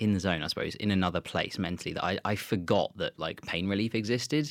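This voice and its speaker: A man with a southern English accent talks very fast at a fairly low pitch on a very clean recording with a silent background. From Southeast England (Kent). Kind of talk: casual interview.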